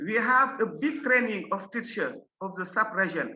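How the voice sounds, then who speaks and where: A woman with a Senegalese accent speaks at a fairly slow pace, her pitch fairly high. Her intonation is lively and her tone bright and sharp. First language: French. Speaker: science education inspector. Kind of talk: conference presentation. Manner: halting.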